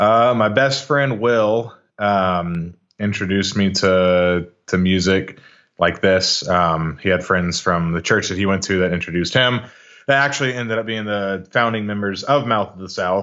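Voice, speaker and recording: In an American accent, a man with an ordinary speaking voice talks at a moderate pace, his fairly low pitch showing ordinary variation. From Texas, Arlington (Dallas-Fort Worth). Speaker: metal musician, vocalist. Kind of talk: casual interview chat.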